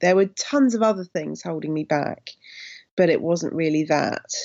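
Fairly low-pitched woman's voice in a southern English accent, with ordinary pitch variation. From Somerset, England. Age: 40s. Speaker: writer and comedian. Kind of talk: casual chat.

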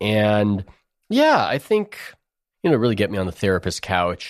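With a Californian accent, a man speaks at a moderate pace. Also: very clean recording, silent background. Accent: General American (Californian). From US West Coast, San Diego. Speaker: sports writer. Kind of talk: interview conversation.

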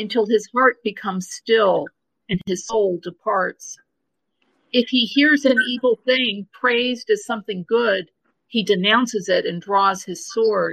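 A normal speaking voice from a woman, fairly high in pitch with ordinary pitch variation and a fairly slow pace, in a dry, close sound with no echo. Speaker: listener, co-participant in live discussion. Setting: live Twitter Space audio chat.

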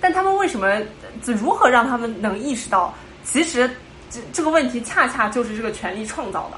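The voice swings very widely in pitch and greatly in loudness, with audible room echo and noticeable background noise. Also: woman, high pitch for a woman. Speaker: programmer. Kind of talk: casual chat. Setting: video call.

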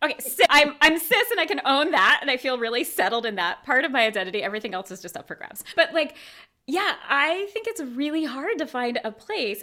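A raised, projected woman's voice, high-pitched with a bright, sharp tone, very wide pitch swings, big swings in loudness and a fairly quick pace. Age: 40s. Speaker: movement teacher and core and pelvic floor rehab coach. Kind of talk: casual interview chat.

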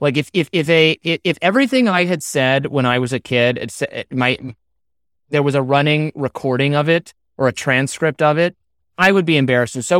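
In a very clean recording with a silent background and a dry, close sound with no echo, a man with a fairly high pitch talks at a fairly quick pace with ordinary pitch variation. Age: 30s. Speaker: journalist and author. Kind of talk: casual chat. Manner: halting.

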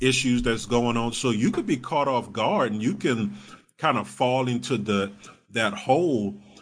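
A man speaks in a normal speaking voice with ordinary pitch variation. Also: medium pitch for a man, fairly slow pace. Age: 30s. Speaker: comedian. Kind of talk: casual chat.

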